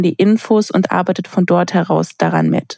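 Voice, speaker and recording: A woman talks at a moderate pace. The recording is dry and close, with no echo. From Baden-Württemberg, Sindelfingen near Stuttgart. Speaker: university podcast host. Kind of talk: interview.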